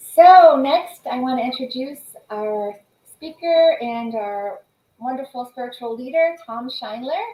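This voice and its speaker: A woman talks at a fairly slow pace in a high voice with lively intonation. Her loudness swings widely. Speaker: church service host. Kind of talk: church announcements.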